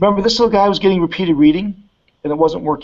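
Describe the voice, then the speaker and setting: His intonation is lively. The man races along at a very fast pace. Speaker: education researcher. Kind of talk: lecture. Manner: animated.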